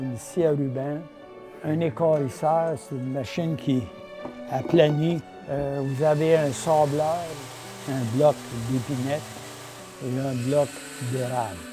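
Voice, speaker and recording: With music in the background, a man with a Quebec accent speaks at a very slow pace in a fairly high pitch, using ordinary pitch variation and long, frequent pauses. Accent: Québécois French. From Quebec (Hull). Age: 80s+. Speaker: amateur violin player and maker. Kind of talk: interview answer.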